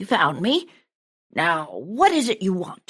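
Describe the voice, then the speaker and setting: A woman puts on a raspy, gruff character voice at a fairly high pitch. She goes at a fairly slow pace with very wide pitch swings. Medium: read story. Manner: gruff, barking.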